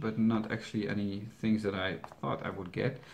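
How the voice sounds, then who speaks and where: This man speaks with a Dutch accent. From Netherlands. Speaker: YouTube reaction channel host. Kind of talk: Q&A video answering viewer questions. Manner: halting, with many fillers and restarts.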